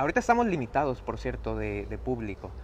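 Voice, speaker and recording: Light background noise behind a man talking. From Mexico, Reynosa, Tamaulipas. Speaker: circus performer. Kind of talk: live interview. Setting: inside a circus tent. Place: tent. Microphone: phone near.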